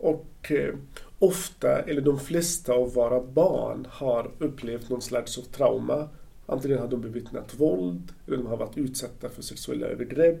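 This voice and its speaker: With an Arabic accent, a man speaks in a dark, mellow tone with vocal fry and ordinary pitch variation. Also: medium pitch for a man, moderate pace. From Palestine, Gaza Strip. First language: Arabic (speaking Swedish). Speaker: social worker. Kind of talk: interview. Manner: halting.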